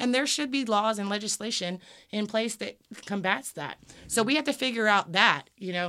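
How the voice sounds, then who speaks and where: With a Southern US accent, a woman talks at a moderate pace in a fairly high pitch, her intonation lively and her tone bright and sharp. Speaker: local Democratic Party activist. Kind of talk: casual interview.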